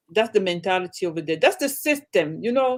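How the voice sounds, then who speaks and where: A woman speaks with an African accent. Her tone is animated. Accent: African accent, often mistaken for Jamaican. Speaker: livestream guest. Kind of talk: casual chat.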